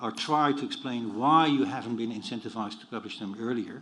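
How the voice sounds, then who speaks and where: A man with a non-native accent talks amid audible room echo. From Europe. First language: non-English European language. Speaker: inquiry panel member. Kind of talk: public hearing questioning.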